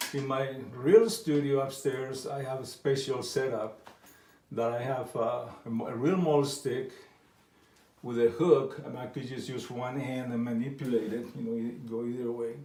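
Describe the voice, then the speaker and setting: With a slight non-native accent, the speaker talks at a moderate pace with ordinary pitch variation and big swings in loudness, amid noticeable background noise and audible room echo. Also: man, medium pitch for a man. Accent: foreign accent, slight. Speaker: painter. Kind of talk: painting tutorial. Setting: art studio. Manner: halting.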